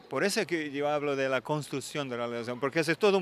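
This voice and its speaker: A man's fairly high voice with a Portuguese accent, dry with no echo, over light background noise. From Portugal. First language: Portuguese (speaking Spanish). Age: 40s. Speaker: film director and actor; actor. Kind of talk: interview. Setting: film festival. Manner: halting. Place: street. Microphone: handheld.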